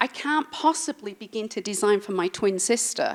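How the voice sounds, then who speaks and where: Moderate pace and medium pitch from a female speaker. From England. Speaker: industrial designer. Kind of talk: talk to audience. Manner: casual with fillers.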